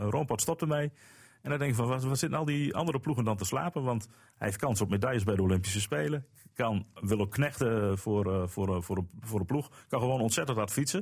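On a very clean recording with a silent background, a man at medium pitch sounds somewhat breathy, with lively intonation and very even loudness. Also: fairly quick pace. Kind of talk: casual chat.

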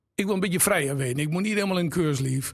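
A man is speaking. Music plays in the background. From Drenthe, Netherlands (Exloo). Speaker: entrepreneur, shoe shop owner. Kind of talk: casual interview.

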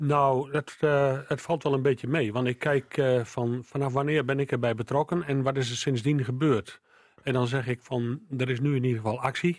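A man with an ordinary speaking voice talks at a moderate pace and medium pitch, keeping very even loudness and fairly even intonation. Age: 60s. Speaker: local politician. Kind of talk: radio interview.

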